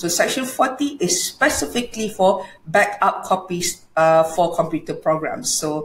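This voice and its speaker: A woman in a Malaysian accent, lively intonation, moderate pace, hardly any pauses and audible room echo. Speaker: law lecturer. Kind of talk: lecture. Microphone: webcam.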